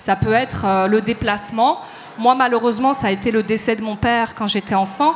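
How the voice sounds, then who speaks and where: A woman speaks at a fairly high pitch with fairly even intonation. Noticeable background noise runs underneath. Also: moderate pace. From Paris, of eastern Moroccan family. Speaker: dancer and choreographer. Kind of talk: panel discussion before live audience. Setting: stage with audience.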